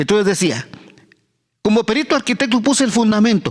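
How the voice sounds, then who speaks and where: This man's voice sits high in pitch. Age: 70s; old. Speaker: pastor. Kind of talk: sermon. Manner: halting.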